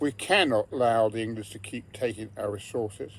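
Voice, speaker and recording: A man with a strong English accent, medium in pitch and somewhat breathy, at a moderate pace. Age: 70s. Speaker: retired pensioner vlogger. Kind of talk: personal political monologue.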